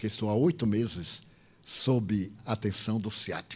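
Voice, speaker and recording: This man has a Bahian accent. His pitch sits fairly low. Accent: Bahian Brazilian. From Bahia, Brazil.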